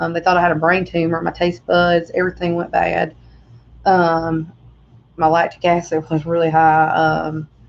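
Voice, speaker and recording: A woman talks at a moderate pace in a fairly low voice with monotone, flat intonation. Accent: Southern US. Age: 30s. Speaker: vlogger. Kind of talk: personal testimony. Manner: halting.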